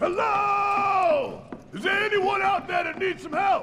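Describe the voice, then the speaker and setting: A man shouting in a put-on character voice at an extremely high pitch, fairly slow, over clear background noise. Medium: video game. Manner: caring, determined.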